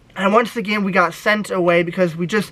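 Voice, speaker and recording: Someone with an American accent speaks at a fairly quick pace over noticeable background noise. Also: man. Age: 20s. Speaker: YouTuber. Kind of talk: casual vlog storytelling. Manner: animated.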